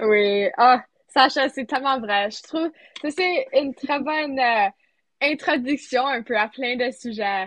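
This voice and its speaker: A woman speaks at a very slow pace in a high voice with ordinary pitch variation. Her loudness swings widely. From rural Manitoba, Canada (near Sainte-Anne). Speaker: student podcast co-host. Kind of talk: casual chat.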